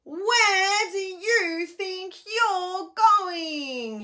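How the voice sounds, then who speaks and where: A woman bellows in a put-on character voice, raised and projected, at an extremely high pitch. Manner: roaring.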